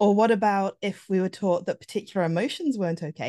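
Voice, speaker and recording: Against a quiet background, a woman speaks very fast in a dark, mellow tone at a medium pitch with ordinary pitch variation. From Papua New Guinea. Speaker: relationship coach. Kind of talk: interview conversation.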